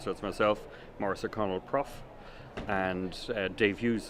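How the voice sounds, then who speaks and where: In a Dublin accent, a man speaks with monotone, flat intonation at a moderate pace. His pitch is fairly low. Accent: Irish (Dublin). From Ireland, Dublin. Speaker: sailing team owner. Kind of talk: interview. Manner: hesitant, many fillers.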